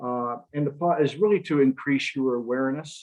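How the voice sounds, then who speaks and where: In an Upper Midwest accent, a man speaks with a fairly high pitch. He keeps a moderate pace. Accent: Upper Midwest American. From Michigan, Lake Michigan shore. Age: 60s. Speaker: retired environmental consultant, guest speaker. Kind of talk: presentation. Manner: halting, many fillers.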